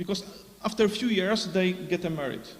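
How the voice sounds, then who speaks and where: Noticeable background noise and audible room echo surround a man speaking with a non-native accent. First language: Polish. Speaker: conference speaker. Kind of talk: conference Q&A answer. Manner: halting, many fillers.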